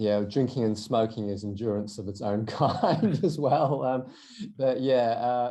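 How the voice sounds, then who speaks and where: Speaking with a South African accent, a man has a dark, mellow tone and ordinary pitch variation. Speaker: endurance runner and entrepreneur. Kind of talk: podcast interview. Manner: hesitant with fillers and repeated words.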